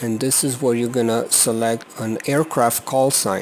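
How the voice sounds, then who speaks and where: Noticeable background noise sits behind a man with a non-native accent. His medium-pitched voice keeps fairly even intonation. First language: not English. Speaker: flight simulator video reviewer. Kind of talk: tutorial. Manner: halting.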